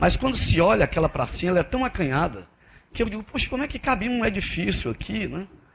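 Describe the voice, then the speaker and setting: A man's very fast speech, full of vocal fry and very wide pitch swings. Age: 50s. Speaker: federal appellate judge. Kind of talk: keynote lecture. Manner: conversational, with frequent repetitions and false starts.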